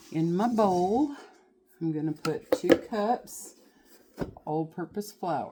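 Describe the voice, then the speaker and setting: Very slow and with lively intonation, a woman speaks in a Southern US accent with a dark, mellow tone. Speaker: home cooking channel host. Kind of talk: cooking tutorial. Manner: casual, folksy.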